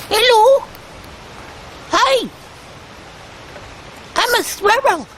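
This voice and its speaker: The speaker uses a put-on character voice at an extremely high pitch. Background noise is clearly heard. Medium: comedy sketch. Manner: sassy, insistent, comic.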